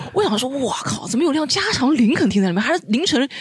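A man talks at a very fast pace with lively intonation. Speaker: former overseas student. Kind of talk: casual chat.

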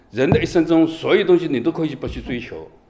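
Against noticeable background noise, a man speaks at a very fast pace. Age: 50s. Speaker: city law enforcement squad leader. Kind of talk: interview.

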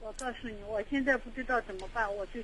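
A woman talks in an unremarkable speaking voice at a fairly quick pace. Her pitch is fairly high, with ordinary pitch variation. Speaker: caller. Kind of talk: phone-in advice call. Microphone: too quiet.

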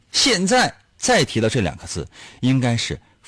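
A man talks at a fairly slow pace with vocal fry. His pitch swings very widely. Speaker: radio host. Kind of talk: casual chat. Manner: animated.

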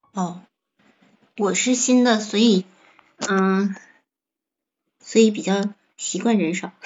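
The speaker talks at a very slow pace with fairly even intonation and long, frequent pauses. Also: woman, medium pitch for a woman. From Heilongjiang, northeast China. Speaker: live streamer. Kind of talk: casual chat.

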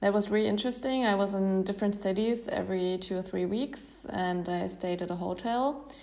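In a room with audible echo, a woman with a German accent speaks at a medium pitch and a moderate pace, with ordinary pitch variation. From Germany. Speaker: traveler. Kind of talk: interview. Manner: hesitant, many fillers.

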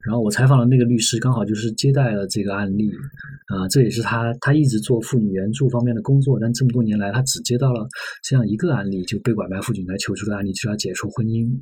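Somewhat breathy, a man talks at a very fast pace. His pitch is medium, with ordinary variation. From Sichuan. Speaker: magazine journalist. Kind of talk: podcast interview conversation.

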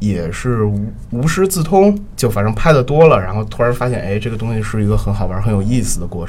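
A man's voice over noticeable background noise. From Beijing. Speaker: theatre photographer. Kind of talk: casual interview.

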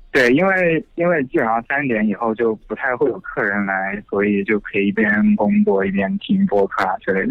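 A man speaks at a moderate pace with hardly any pauses, his medium pitch swinging very widely. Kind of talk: casual chat. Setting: phone call.

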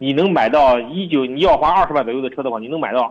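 A man of medium pitch talks at a very fast pace. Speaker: used car dealership director. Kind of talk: radio call-in advice chat.

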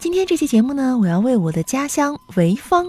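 Dry, close-miked female speech free of echo, its pitch swinging very widely. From Weifang, Shandong, China. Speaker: podcast anchor. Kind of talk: scripted narration.

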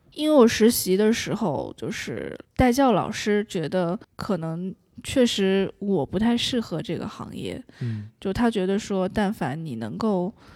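Spoken in a plain, everyday voice, the delivery has lively intonation at a fairly slow pace on a very clean recording with a silent background. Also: woman. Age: 20s. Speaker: audiobook narrator. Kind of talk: interview.

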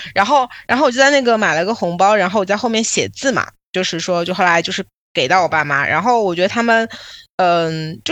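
A woman's medium-pitched voice at a very fast pace, with very wide pitch swings, over a quiet background. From Shanghai, China. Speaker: podcast host and PR agency owner. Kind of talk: casual chat.

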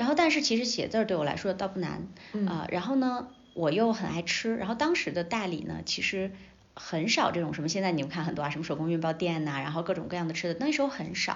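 A woman's fairly low-pitched voice at a very fast pace, with audible room echo. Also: lively intonation. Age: 30s. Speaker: media veteran and entrepreneur. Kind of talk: casual interview chat.

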